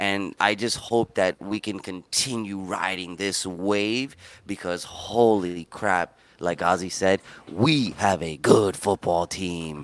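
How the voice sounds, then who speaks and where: Very slowly, a man talks at a fairly low pitch with ordinary pitch variation. The sound is dry and close, with no echo. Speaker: podcast host. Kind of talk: casual sports podcast chat.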